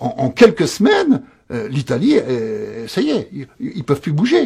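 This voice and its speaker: With very wide pitch swings, a man with a high pitch and a dark, mellow tone speaks at a fairly slow pace. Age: 60s. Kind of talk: interview. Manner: halting, repetitive.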